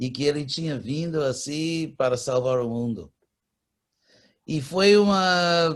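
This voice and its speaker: Very slowly, a man speaks with lively intonation. His pitch is fairly high. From California, USA. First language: English (speaking Portuguese). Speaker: spiritual teacher. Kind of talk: interview.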